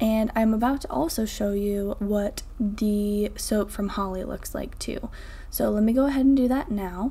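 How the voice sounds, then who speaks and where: With an American accent, a woman speaks in a dark, mellow, somewhat breathy tone at a fairly high pitch with ordinary pitch variation. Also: fairly slow pace. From northern Vermont, US. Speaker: soap maker and video creator. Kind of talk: tutorial with voiceover narration.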